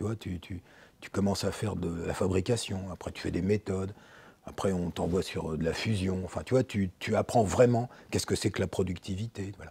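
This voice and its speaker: Somewhat breathy and dark, mellow in tone, a man's fairly low voice moves at a moderate pace with fairly even intonation and big swings in loudness. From France. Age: 60s. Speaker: former industrialist, business consultant. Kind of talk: podcast interview. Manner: casual, hesitant with fillers.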